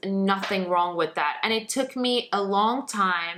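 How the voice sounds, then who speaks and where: A woman with a non-native accent speaks at a medium pitch in a bright, sharp tone. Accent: foreign. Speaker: lifestyle blogger and youtuber. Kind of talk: casual talk to camera. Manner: animated.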